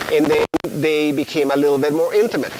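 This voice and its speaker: The speaker has a Spanish accent, with noticeable background noise behind the voice. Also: man. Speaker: biology professor. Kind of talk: lecture. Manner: halting. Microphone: poor audio quality at times.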